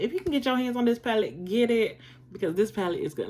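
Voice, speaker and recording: This woman's voice carries vocal fry. Her pitch swings very widely. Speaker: beauty vlogger. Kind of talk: casual haul/collection review. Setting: home, informal in pajamas.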